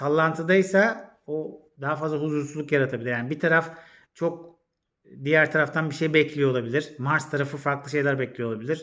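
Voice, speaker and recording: This is a man with a fairly high pitch. His tone is bright and sharp, his intonation fairly even. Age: 40s. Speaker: astrologer. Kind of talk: casual vlog monologue. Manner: hesitant, many fillers.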